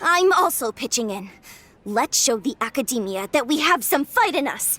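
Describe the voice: A woman performs a put-on character voice at a high pitch with a fairly bright tone. Her pitch swings widely at a moderate pace.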